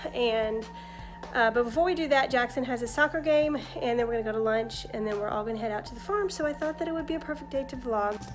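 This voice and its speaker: Clear music plays behind a woman who speaks at a very fast pace in a high pitch. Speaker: family vlogger. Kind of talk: casual vlog chat. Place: home room. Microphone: phone near.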